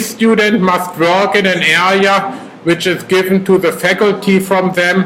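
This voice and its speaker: The speaker has a German accent and talks at a fairly slow pace. Noticeable background noise is present. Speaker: professor. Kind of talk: lecture. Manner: hesitant.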